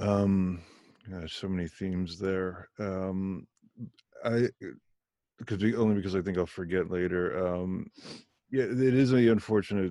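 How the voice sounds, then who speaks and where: A man speaks at a moderate pace in a General American accent, his pitch very deep and low. His tone is dark and mellow, with fairly even intonation. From US. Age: 40s. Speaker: podcast host. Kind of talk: casual interview.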